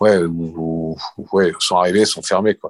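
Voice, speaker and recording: A man's voice with fairly even intonation. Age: 60s. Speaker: retired surf and skate shop founder. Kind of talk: interview.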